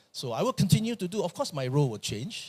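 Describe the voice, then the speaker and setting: Somewhat breathy and very fast, a man talks with lively intonation in a dry, close sound with no echo. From Malaysia. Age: 60s. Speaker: pastor. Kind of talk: sermon.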